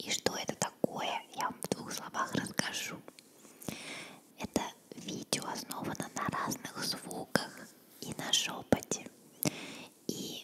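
A soft-spoken woman whispering at a very slow pace over loud background noise. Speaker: ASMR video host. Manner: soft close-mic ASMR whisper. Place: home room. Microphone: studio mic.

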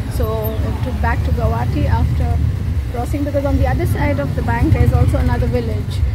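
A woman talks at a very fast pace. Loud background noise is present. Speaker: travel vlogger. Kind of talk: casual vlog chat. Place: boat. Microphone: phone near.

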